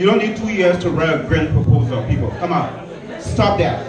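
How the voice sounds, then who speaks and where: A man's voice swings very widely in pitch. Noticeable background noise and audible room echo surround it. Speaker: candidate for community association president. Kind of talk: debate.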